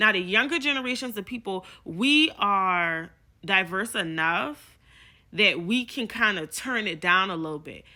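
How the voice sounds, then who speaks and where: A woman with an American accent speaks in a bright, sharp tone with lively intonation and big swings in loudness, in a very clean recording with a silent background. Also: medium pitch for a woman, fairly slow pace. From South Carolina Lowcountry, Charleston. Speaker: social media creator. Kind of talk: casual vlog talk to camera.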